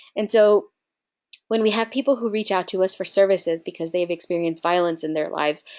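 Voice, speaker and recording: This woman's pitch sits in the medium range. She speaks in a Spanish accent. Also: quiet background. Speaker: nonprofit program director. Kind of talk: webinar presentation.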